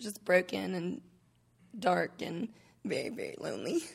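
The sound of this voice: A woman's raspy voice with vocal fry, a slightly husky edge and a nervous tone, lively intonation at a moderate pace. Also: fairly low pitch for a woman.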